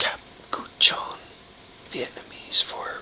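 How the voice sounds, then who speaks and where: A man's whispering at a very slow pace, amid noticeable background noise. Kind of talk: book reading, trivia read aloud to camera. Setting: home recording, informal video.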